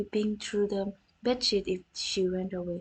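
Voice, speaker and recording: At a fairly slow pace, a woman speaks in a somewhat breathy voice of medium pitch. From North India. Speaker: vtuber streamer. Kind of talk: storytelling on a livestream. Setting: livestream. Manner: halting, many restarts.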